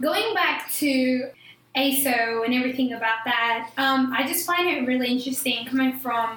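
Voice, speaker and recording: In a recording with noticeable background noise and audible room echo, a woman speaks at a moderate pace in a high voice with fairly even intonation. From New Zealand. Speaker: podcast co-host. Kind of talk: casual chat.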